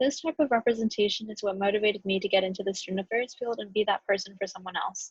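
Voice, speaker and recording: A woman talks at a very fast pace in a medium pitch, somewhat breathy, with fairly even intonation and a dry, close sound with no echo. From US Mexican-American community. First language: Spanish. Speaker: graduate student. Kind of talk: class presentation. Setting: recorded video.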